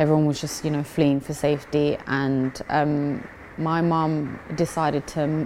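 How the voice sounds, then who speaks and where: A woman speaks in a London accent. Her voice is very deep and low, and her pace is fairly slow. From East London, England. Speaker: amateur boxer. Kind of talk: interview. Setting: boxing gym.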